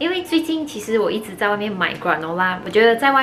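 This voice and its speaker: Music plays in the background as a woman talks. Her pace is fairly quick and her intonation lively. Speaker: home cooking vlogger. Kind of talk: casual vlog chat. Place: kitchen. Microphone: phone near.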